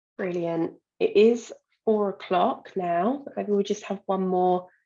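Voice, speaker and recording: A woman with a British accent speaks at a medium pitch in a dark, mellow tone, with ordinary pitch variation. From United Kingdom. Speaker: employment market specialist and webinar moderator. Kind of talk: webinar Q&A moderation. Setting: online webinar.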